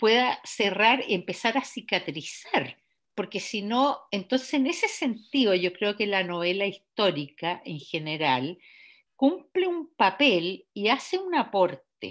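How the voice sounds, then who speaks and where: At a very slow pace, a woman talks in a medium pitch with very wide pitch swings. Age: 70s. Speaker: novelist. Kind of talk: author interview. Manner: halting, many fillers and repetitions.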